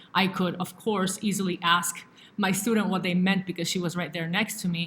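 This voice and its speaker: A woman speaks at medium pitch in a Spanish accent. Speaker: language teacher. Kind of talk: educational talk to camera. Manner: hesitant with fillers.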